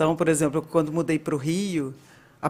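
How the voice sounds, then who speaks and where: A woman speaks with a Minas Gerais accent. Her intonation is fairly even. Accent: Minas Gerais (mineiro). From Minas Gerais, Brazil. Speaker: data and analytics director. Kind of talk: casual interview chat.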